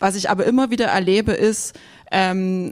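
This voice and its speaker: A woman speaks at a moderate pace and medium pitch, with ordinary pitch variation and a slight Saxon accent. The recording is very clean, the background silent. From Saxony, eastern Germany. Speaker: journalist. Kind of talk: panel discussion. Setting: stage with audience.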